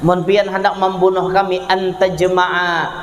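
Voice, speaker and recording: A man with a South Kalimantan accent, high in pitch, at a fairly slow pace, with noticeable background noise. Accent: Kelua Banjar dialect. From Kelua, Tabalong, South Kalimantan. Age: young. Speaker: Islamic preacher. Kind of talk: religious sermon. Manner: humorous.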